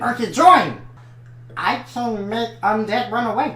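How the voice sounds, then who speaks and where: A put-on character voice, fairly high in pitch and fairly slow, over light background noise. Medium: actual play. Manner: hesitant, filler-heavy.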